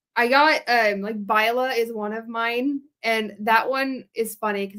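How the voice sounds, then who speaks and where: Speaking at a fairly slow pace with an American accent, a woman uses a fairly high pitch, fairly even intonation and a bright, sharp tone. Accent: Southern US accent, comes out in public. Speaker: indie author. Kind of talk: casual live interview. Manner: hesitant, many fillers.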